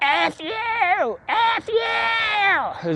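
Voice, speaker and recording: A raspy, female-sounding put-on character voice. It sits at an extremely high pitch. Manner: screaming, yelling at top of lungs.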